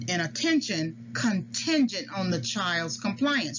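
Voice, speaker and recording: Someone speaks at a fairly slow pace with very wide pitch swings against noticeable background noise. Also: woman. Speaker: psychology educator. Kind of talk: lecture. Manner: halting.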